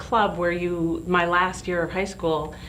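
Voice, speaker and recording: With an American accent and a fairly low pitch, a woman speaks amid noticeable background noise and audible room echo. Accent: Southern, slight, comes out when frustrated. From US, several states (New York, Texas, Alabama, New Mexico, California). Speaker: life coach and business consultant. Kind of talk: interview.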